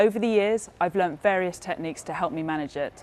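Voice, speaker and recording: A woman with a British accent talks at a fairly quick pace. Her voice is fairly low, with lively intonation. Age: 30s. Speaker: news correspondent and producer. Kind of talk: news report.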